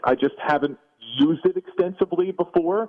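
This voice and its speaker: A man speaks at a moderate pace with an American accent and lively intonation. He has a plain, everyday voice. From New Jersey. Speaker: TV play-by-play announcer. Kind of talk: interview. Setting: at home, remote.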